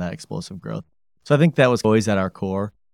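In an Upper Midwest accent, a man talks at a very fast pace, on a very clean recording with a silent background and a dry, close sound with no echo. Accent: Upper Midwest American. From Grand Rapids, Michigan. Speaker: company president. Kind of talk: interview.

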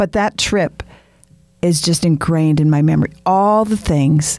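A woman with an American accent speaks at a fairly slow pace with lively intonation. She has a plain, everyday voice. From Wisconsin (Frederick). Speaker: podcast guest. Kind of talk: casual chat.

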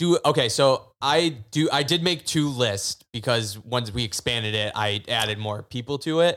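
An ordinary speaking voice from a man at medium pitch moves at a moderate pace with lively intonation and hardly any pauses, on a very clean recording with a silent background. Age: 20s. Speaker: podcast co-host, daycare worker. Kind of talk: casual chat.

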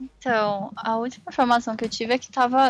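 This woman's fairly high voice is an ordinary speaking voice, delivered at a moderate pace. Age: 20s. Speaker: design student and calligrapher. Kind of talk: casual interview.

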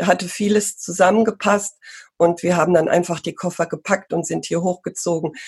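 A woman's fairly low, monotone voice with vocal fry, flat in intonation, at a moderate pace. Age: 50s. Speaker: pony riding instructor and marketing entrepreneur. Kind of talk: interview conversation.

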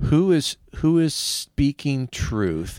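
This man's voice has a fairly high pitch and a dry, close sound with no echo. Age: 50s. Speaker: pastor and podcast co-host. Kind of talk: casual chat.

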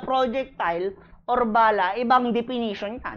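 A woman's high, animated voice at a fairly slow pace. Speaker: criminology review lecturer. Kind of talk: lecture. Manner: repetitive emphatic.

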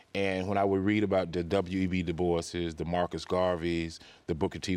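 In a Mississippi accent, the speaker talks at a moderate pace with a monotone, flat intonation. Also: man. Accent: Southern US (Mississippi). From Mississippi Delta, US. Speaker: higher education executive. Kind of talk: interview conversation.

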